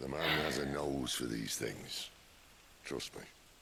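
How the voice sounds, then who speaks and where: Growling in a put-on character voice, a man speaks very deep and low at a fairly slow pace with fairly even intonation over clear background noise. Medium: video game. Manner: dry, laconic.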